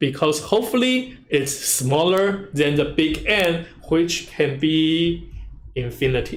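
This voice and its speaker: A man with a fairly high pitch and lively intonation speaks very slowly at a very even loudness, with audible room echo. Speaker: university lecturer. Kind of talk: lecture.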